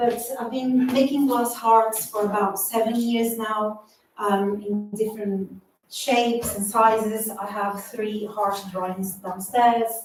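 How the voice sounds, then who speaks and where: A woman with a Portuguese accent speaks at a very slow pace in a fairly high pitch, her intonation monotone and flat. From Brazil. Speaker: artist and doctoral researcher. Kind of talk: public talk at exhibition launch.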